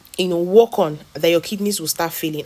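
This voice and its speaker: Over noticeable background noise, a woman is speaking. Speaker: health educator. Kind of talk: health talk video. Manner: fast.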